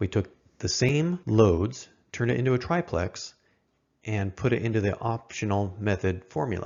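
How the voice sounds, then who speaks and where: The man's voice sits fairly low in pitch. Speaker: electrical code instructor. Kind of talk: tutorial. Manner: fast.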